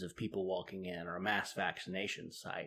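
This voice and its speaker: Recorded very cleanly against a silent background, a man speaks at a moderate pace. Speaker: podcast host. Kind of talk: casual discussion of public health news. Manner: conversational, hesitant with fillers.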